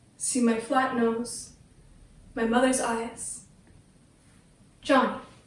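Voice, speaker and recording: A woman at a high pitch speaks at a fairly slow pace in a monotone, flat intonation with noticeable background noise. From Northwest Territories, Canada. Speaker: spoken word poet; research and development head at a biotech company. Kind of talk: spoken word poetry performance.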